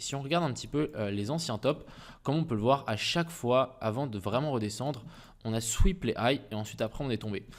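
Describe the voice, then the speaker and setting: A man speaks fairly quickly, his pitch varying in an ordinary way. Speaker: crypto trading YouTuber. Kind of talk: market analysis tutorial. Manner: fast; casual, hesitant with fillers.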